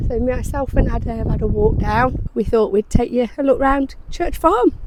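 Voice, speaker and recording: There is noticeable background noise behind this woman. She speaks at a moderate pace with lively intonation. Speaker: lifestyle vlogger. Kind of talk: casual vlog.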